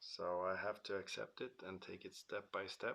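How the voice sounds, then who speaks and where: A man speaks quietly. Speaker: car restoration YouTuber. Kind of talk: casual vlog monologue. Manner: slow; quiet, hesitant with many fillers.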